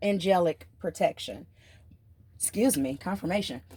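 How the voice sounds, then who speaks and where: A woman's dark, mellow voice sits at medium pitch and sounds somewhat breathy. Her pitch swings very widely in a dry, close recording with no echo. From US South. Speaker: tarot reader. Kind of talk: tarot reading. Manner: animated.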